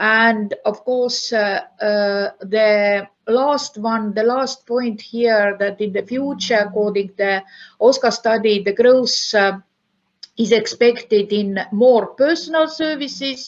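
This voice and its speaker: A woman with an Estonian accent talks at a very slow pace against a quiet background. Her pitch sits fairly high and varies in an ordinary way. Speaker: university professor. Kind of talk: conference lecture. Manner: halting, many fillers.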